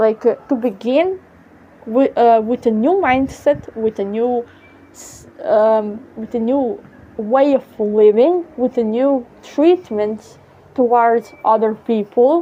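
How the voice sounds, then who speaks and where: Speaking very slowly with a strong Serbian accent, a woman uses a high pitch with ordinary pitch variation and big swings in loudness. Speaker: vlogger. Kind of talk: casual monologue. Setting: outdoors on apartment balcony. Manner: halting, many fillers.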